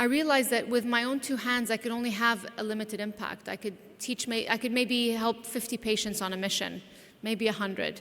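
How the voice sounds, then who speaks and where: The speaker has an American accent and a monotone, flat intonation at a fairly quick pace. Noticeable background noise can be heard. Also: woman, fairly high pitch for a woman. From San Diego, California, then Lebanon from age 8-9. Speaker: plastic surgeon and entrepreneur. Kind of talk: conference talk.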